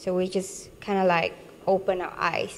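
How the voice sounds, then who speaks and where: The speaker talks at a fairly slow pace with a Vietnamese accent. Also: woman. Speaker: international student. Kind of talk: testimonial interview. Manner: halting, many fillers and restarts.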